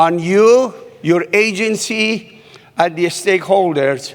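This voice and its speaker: This man speaks in a non-native accent with a high pitch. His tone is animated. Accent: foreign. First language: not English. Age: 60s. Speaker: keynote speaker, human behaviorist. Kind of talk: keynote speech.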